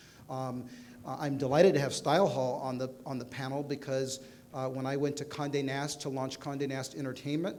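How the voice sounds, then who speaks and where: A man at medium pitch and a fairly quick pace, with audible room echo. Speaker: panel moderator. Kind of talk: panel discussion. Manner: fast.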